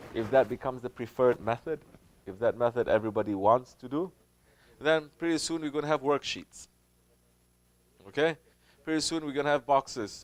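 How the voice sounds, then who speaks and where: On a very clean recording with a silent background and a dry, close sound with no echo, a man speaks at a fairly high pitch and a fairly quick pace, with ordinary pitch variation and long, frequent pauses. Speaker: Sufi teacher. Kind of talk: religious Q&A talk.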